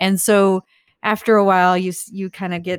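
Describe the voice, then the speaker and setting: Against a silent background on a very clean recording, a woman talks with an American accent. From northern US. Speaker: agency owner. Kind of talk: interview.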